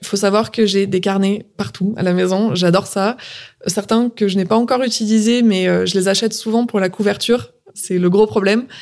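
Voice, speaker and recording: In a plain, everyday voice, a woman speaks at a moderate pace and medium pitch, her loudness very even. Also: fairly even intonation. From southern France. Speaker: entrepreneur. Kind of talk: interview.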